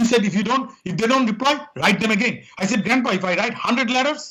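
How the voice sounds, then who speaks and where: With a strong Indian accent, a man talks at a fairly quick pace in a raised, projected voice with a bright, sharp tone. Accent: thick Indian. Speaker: quality consultant and author. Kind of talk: interview.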